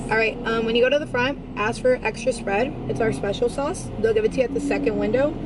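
A woman talks at a fairly quick pace while loud background noise goes on. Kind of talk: customer service order taking. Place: street. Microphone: camera far.

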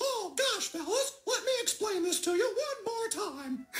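Someone performs a put-on character voice at an extremely high pitch. The pace is moderate. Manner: friendly, patient.

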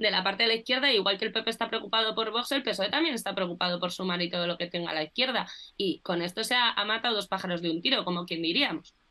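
A woman talks at a very fast pace with hardly any pauses and ordinary pitch variation. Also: medium pitch for a woman. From Spain. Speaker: political communication specialist. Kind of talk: casual political discussion. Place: home room. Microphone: video call.

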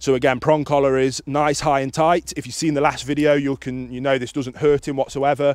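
A man at a fairly quick pace, monotone and flat, with dry sound, no echo and a quiet background. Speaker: dog trainer. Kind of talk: tutorial. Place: open country.

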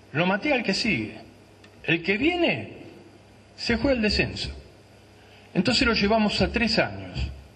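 Pacing is fairly slow as a man speaks with long, frequent pauses. His loudness stays very even. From Argentina. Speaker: former football club director; panelist. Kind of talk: panel testimony. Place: hall. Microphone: handheld.

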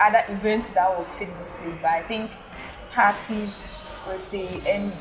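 Over noticeable background noise, the speech moves at a fairly slow pace with fairly even intonation. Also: woman. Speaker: food vlogger. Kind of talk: casual vlog review. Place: bar. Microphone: lapel.

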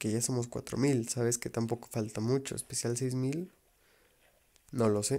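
A quiet man's voice with a dark, mellow tone, medium pitch, fairly even intonation, fairly slow pace and long, frequent pauses. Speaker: gaming youtuber. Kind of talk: gameplay commentary.

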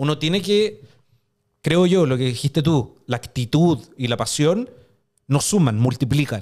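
Against a quiet background, a man with a Chilean accent speaks at a fairly slow pace, using a fairly high pitch and lively intonation. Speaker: podcast host. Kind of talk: casual chat. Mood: engaged, animated. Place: studio. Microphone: studio mic.

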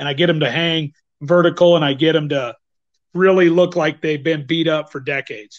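The speaker has a normal speaking voice with an American accent and fairly even intonation. The pace is fairly quick against a quiet background. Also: man, fairly high pitch for a man. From northern Idaho, US. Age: 50s. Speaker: bowhunter and teacher; teacher. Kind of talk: interview. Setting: video call. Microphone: video call.

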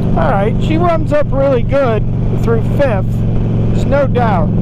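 There is loud background noise. The sound itself is dry with no echo. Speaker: motorcyclist vlogger. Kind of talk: casual vlog chat. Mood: pleased, impressed. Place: motorbike. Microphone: helmet.

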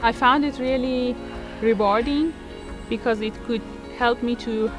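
There is clear music in the background as a woman speaks with an Iranian accent. The sound is dry with no echo. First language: Persian. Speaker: runner. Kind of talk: casual personal testimonial to camera. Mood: warm, reflective. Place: garden.

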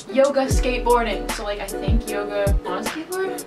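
Loud music plays in the background as a woman speaks. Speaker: vlogger. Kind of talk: casual vlog chat. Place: home room. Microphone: camera far.

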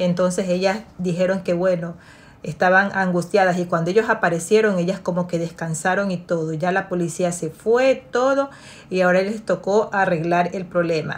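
The pace is moderate for this woman. Her intonation stays fairly even. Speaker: storyteller. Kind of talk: story time, retelling a family drama in a confiding bedtime-story tone. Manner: narrative, steady pace with a storyteller's suspense; conversational, retelling with repetitions and filler. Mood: calm, engaged narration. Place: home room. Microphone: phone near.

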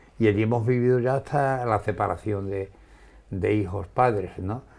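At a fairly slow pace, a man speaks in a plain, everyday voice, fairly low in pitch and with fairly even intonation. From Andalusia, Spain. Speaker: shopkeeper and writer. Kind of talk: interview. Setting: his home wine cellar. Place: office. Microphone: lapel.

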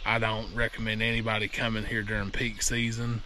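This man talks at a moderate pace over light background noise, with a dry sound and no echo. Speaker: kayaking vlogger. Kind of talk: casual vlog chat. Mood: mildly annoyed at crowds. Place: waterside. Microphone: phone near.

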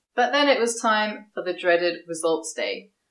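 Against a quiet background with audible room echo, a woman with a southern English accent speaks at a moderate pace. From southeast England, Kent. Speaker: scientist and science video creator; science video creator. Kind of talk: vlog monologue. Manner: casual, upbeat. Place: home room.

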